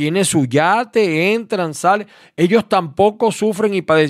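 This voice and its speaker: A man in a Maracaibo accent with very wide pitch swings, on a very clean recording with a silent background. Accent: Maracaibo (Zulia) Venezuelan. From Venezuela, Maracaibo. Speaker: radio host. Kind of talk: radio opinion commentary.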